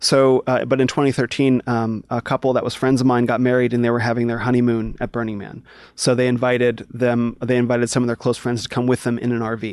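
His intonation is monotone and flat. This man speaks very fast. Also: medium pitch for a man, hardly any pauses. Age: 40s. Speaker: former spiritual seeker and DJ. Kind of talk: interview storytelling.

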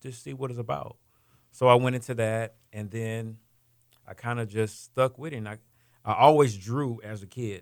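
On a very clean recording with a silent background, a man with an ordinary speaking voice talks at a moderate pace and medium pitch, his intonation fairly even and his loudness swinging widely. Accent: American. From Houston, Texas. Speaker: food truck entrepreneur. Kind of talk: interview.

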